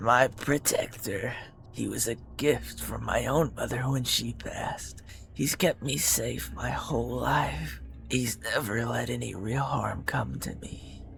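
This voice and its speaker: Whispering in a put-on character voice, a man speaks at a fairly slow pace over clear music in the background. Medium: read story. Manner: calm, serene, intense.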